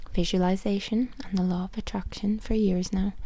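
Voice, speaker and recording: A soft-spoken woman with an Irish accent, at a moderate pace and with fairly even intonation. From Ireland. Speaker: author. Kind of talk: ASMR book reading.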